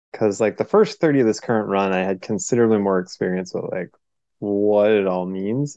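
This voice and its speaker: A man with an American accent has a fairly low pitch and a dark, mellow tone with ordinary pitch variation. He talks at a fairly quick pace, and the sound is dry and close with no echo. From Portland, Oregon. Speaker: guest in alcohol recovery. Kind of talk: casual chat.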